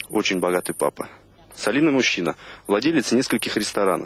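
A man's pitch swings very widely in a dry recording with no echo. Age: 20s. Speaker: reality show contestant. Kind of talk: casual chat. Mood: earnest, slightly aggrieved. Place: garden. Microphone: handheld.

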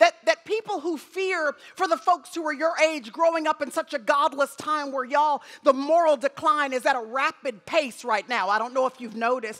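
Against a quiet background, a woman with a high pitch speaks at a moderate pace with ordinary pitch variation. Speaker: guest preacher. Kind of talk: sermon. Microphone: headset.

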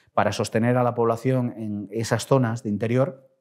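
A man's medium-pitched voice, with ordinary pitch variation, comes through over a quiet background. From Spain, Castilla y León. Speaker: politician; politician interviewee. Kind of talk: interview. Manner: hesitant, many fillers. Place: office. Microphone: lapel.

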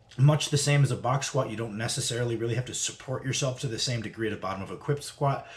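Very fast, somewhat breathy speech from a man, his intonation fairly even. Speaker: strength training vlogger. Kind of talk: casual lecture-style vlog. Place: home room. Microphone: webcam.

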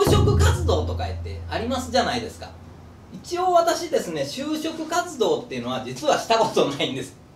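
Over music in the background and audible room echo, a man talks at a moderate pace. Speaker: channel host. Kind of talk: casual vlog chat. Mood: playful, laughing. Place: street.

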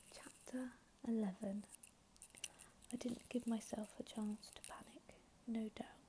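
A soft-spoken woman at a very slow pace, monotone and flat, over light background noise. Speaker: ASMR YouTuber reading audiobook-style. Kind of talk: ASMR sleep reading of a novel. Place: home room.

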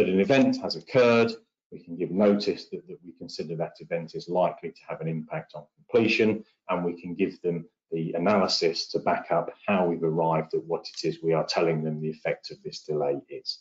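A man with a low voice and a slightly husky edge. He talks at a fairly quick pace with fairly even intonation.

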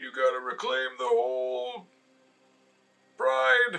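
A man puts on a character voice at a medium pitch. He delivers it at a fairly slow pace. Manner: bossy, dramatic.

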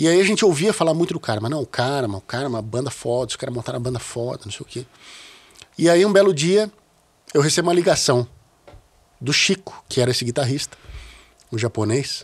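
At a fairly quick pace, a man speaks with lively intonation and a fairly high pitch. He leaves long, frequent pauses. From Brazil, São Paulo (childhood partly in Rio). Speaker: bass player; podcast guest. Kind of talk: casual interview conversation. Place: studio. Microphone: studio mic.

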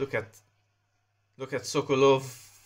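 A man at medium pitch. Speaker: gameplay commentator. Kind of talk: live gameplay commentary over a mobile football game, narrating play-by-play. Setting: solo recording, voiceover on gameplay video. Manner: conversational, improvised, reacting as chances happen.

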